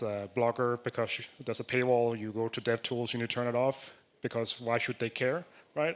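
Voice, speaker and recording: A man with a Danish accent speaks at a moderate pace in a medium pitch, his intonation monotone and flat. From Denmark. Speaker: software developer, conference speaker. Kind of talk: conference talk. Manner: casual, filler-heavy.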